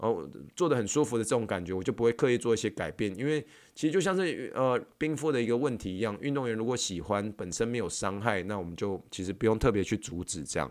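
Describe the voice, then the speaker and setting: The recording is very clean with a silent background as a man of medium pitch talks at a very fast pace with lively intonation. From Taiwan, New Taipei. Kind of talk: podcast monologue answering listener questions. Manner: casual, filler-heavy.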